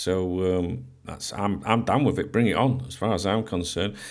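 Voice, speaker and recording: A man speaks at a fairly quick pace in an ordinary speaking voice. His intonation is lively. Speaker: football podcast host. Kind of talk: radio dj patter: friendly sign-on, news and rumour rundown, cheery sign-off. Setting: home recording, podcast. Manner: chatty, upbeat and conversational, with filler 'uh' and 'um' and casual greetings.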